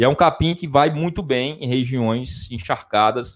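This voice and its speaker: In a very clean recording with a silent background, a man with a normal speaking voice talks at a fairly slow pace, at a medium pitch with ordinary pitch variation. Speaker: livestock science teacher. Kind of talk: live-stream lecture. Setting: improvised home studio. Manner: conversational, frequent 'tá?' fillers.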